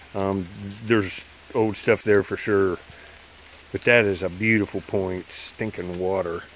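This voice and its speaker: A man with a fairly low pitch speaks slowly, monotone and flat. The sound is dry with no echo, over light background noise. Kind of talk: casual vlog chat. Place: rain. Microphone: phone near.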